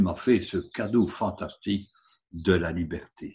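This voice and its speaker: A man speaks at a very slow pace, sounding somewhat breathy. The background is quiet. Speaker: preacher. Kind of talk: sermon. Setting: online service. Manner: earnest, didactic, persuasive; rhetorical, engaging the congregation.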